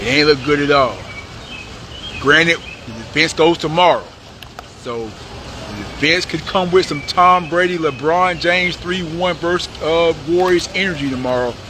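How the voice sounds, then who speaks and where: A man's animated, fairly high voice at a fairly slow pace, with ordinary pitch variation, long, frequent pauses, audible room echo and noticeable background noise. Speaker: YouTube commentator. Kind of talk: live outdoor report recap. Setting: outdoors outside courthouse. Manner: casual, animated.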